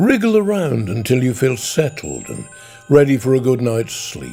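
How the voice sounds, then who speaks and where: A man with a Norfolk accent, medium pitch and lively intonation, over music in the background. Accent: soft Norfolk burr. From Norfolk, England. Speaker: broadcaster. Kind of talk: sleep story. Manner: gentle, soothing, slow.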